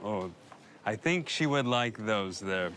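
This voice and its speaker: Here a man speaks with an American accent. His pace is moderate and his intonation lively. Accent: American accent when speaking Polish. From US South, Arkansas. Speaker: immigrant and YouTuber in documentary. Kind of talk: documentary interview and casual narration.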